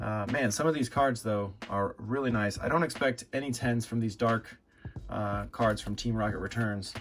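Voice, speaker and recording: A quiet voice at a moderate pace with fairly even intonation. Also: man. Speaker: trading card collector YouTuber. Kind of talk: casual vlog commentary. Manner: hesitant, many filler words; speaking quieter for sleeping baby.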